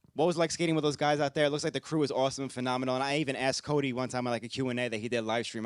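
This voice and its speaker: Dry and close with no echo, a man speaks at a very fast pace with a New York accent. His pitch is medium and his intonation fairly even. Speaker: podcast host. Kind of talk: Q&A interview.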